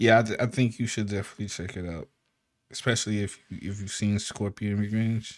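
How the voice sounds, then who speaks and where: A man speaks fairly quickly in a fairly low voice with fairly even intonation. It is an unremarkable speaking voice. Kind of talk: casual banter. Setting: video call or stream.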